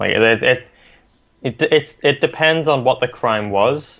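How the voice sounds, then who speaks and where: A man with an Australian accent and lively intonation. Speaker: podcast co-host. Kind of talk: casual podcast chat.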